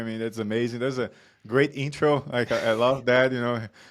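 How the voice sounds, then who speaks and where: Speaking with a Brazilian accent, a man of medium pitch talks at a fairly quick pace with fairly even intonation. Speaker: performance coach. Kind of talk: interview chat.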